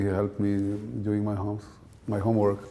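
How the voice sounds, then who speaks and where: A man's dark, mellow voice at a fairly low pitch, with audible room echo. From Israel. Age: 60s. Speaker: scientist. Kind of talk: interview.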